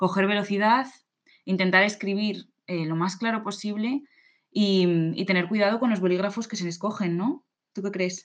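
At a moderate pace, a woman with an unremarkable speaking voice keeps her intonation fairly even. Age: 20s. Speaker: podcast co-host, civil servant. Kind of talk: casual chat.

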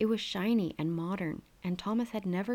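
The text is plainly read aloud, with pitch moving in an ordinary way.

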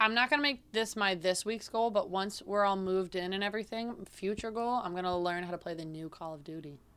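A woman with an American accent and a normal speaking voice talks at a fairly quick pace with hardly any pauses, at a medium pitch with ordinary pitch variation and big swings in loudness, in a very clean recording with a silent background. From central New York. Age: 20s. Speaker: podcast co-host. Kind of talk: casual chat. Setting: recording at home.

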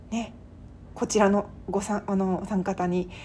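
The woman has a plain, everyday voice. She speaks at a moderate pace with fairly even intonation. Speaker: podcast host and writer. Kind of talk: solo podcast monologue. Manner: casual with polite phrasing.

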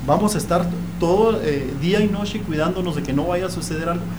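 Over noticeable background noise and audible room echo, a man talks at a fairly quick pace in a high voice with ordinary pitch variation. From Chihuahua, Mexico. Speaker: author recounting paranormal experiences. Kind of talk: testimony. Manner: halting, repeats words.

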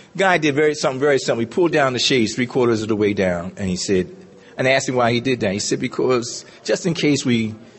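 A man with an American accent talks at a very fast pace with lively intonation. Noticeable background noise is present. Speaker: recovering alcoholic speaker. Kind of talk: testimony.

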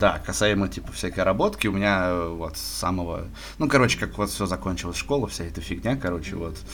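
A man talks fairly quickly as noticeable background noise carries on behind him. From Moscow, Russia. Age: 20s. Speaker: podcast guest, sports bettor. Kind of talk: casual chat. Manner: halting, many filler words.

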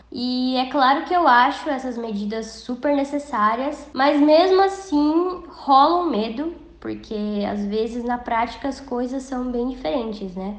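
Against noticeable background noise and audible room echo, a woman with a high pitch speaks at a fairly slow pace with lively intonation. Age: 20s. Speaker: journalist and poll worker. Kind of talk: interview testimony.

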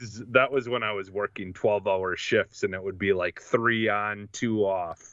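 A man with a normal speaking voice talks at a moderate pace and fairly low pitch, with hardly any pauses. His intonation stays fairly even while his loudness swings widely. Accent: American. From Wisconsin. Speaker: gaming podcast co-host. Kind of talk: casual chat.

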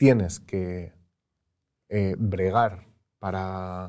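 A dark, mellow male tone, very cleanly recorded against a silent background. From Spain, Madrid. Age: 30s. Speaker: former politician. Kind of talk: interview.

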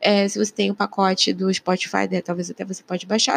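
A woman speaks at a medium pitch. Noticeable background noise runs under a dry, close sound with no echo. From Rio de Janeiro, Brazil. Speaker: podcaster and YouTuber. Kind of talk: solo political commentary. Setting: living room at home. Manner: casual, chatty.

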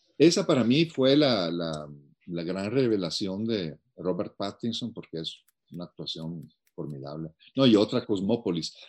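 A man speaks at a fairly slow pace with a fairly low pitch. His voice has very wide pitch swings and big swings in loudness. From Italy. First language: Italian (speaking Spanish). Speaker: film educator. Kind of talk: casual chat.

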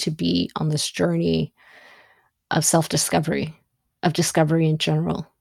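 The voice has a dark, mellow tone and an Ethiopian accent. The recording is very clean, with a silent background. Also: woman. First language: Amharic. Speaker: podcast host. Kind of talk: solo monologue. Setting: studio microphone, audio only. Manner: halting with many fillers.

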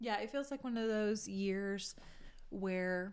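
A woman at a moderate pace, a plain, everyday voice. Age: 30s. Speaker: podcast host's wife. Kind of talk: casual chat. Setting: home kitchen.

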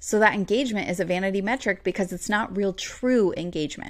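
This is a normal speaking voice at a fairly quick pace. Its pitch varies in an ordinary way. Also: woman. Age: 30s. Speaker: podcast host and business coach. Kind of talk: solo podcast tutorial.

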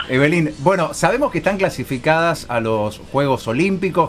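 Music plays in the background as a man speaks at a moderate pace. His intonation is lively, with a Rioplatense accent. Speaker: radio sports show host. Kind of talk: radio interview.

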